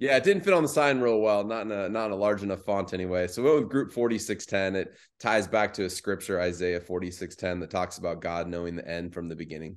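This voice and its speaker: Talking at a very fast pace with hardly any pauses, a man with an American accent uses a fairly low pitch and ordinary pitch variation against a quiet background. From Arizona, Phoenix metro. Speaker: realtor and real estate team lead. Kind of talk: interview conversation.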